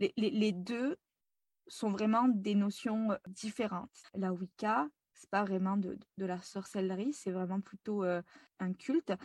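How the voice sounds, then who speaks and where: Recorded very cleanly with a silent background and a dry, close sound with no echo, a woman with a medium pitch speaks very slowly in a somewhat breathy voice, with ordinary pitch variation and big swings in loudness. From France. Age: 20s. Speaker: spiritual guide. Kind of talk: interview. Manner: lively.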